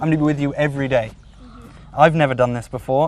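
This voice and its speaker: A man speaks at a fairly high pitch. There is noticeable background noise. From England (Bristol). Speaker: TV presenter. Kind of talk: casual chat with children.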